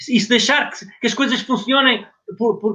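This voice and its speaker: A man projects a raised voice at an extremely high pitch. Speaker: former distance runner, journalist. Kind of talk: casual chat.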